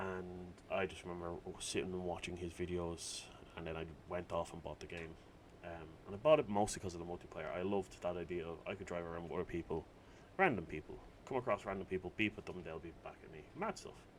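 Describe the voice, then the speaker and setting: With an Irish accent, a man with a very deep, low pitch speaks at a very fast pace, his intonation fairly even but his loudness swinging widely. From Ireland. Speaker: gaming video creator. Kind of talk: gameplay commentary. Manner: casual, rambling with fillers.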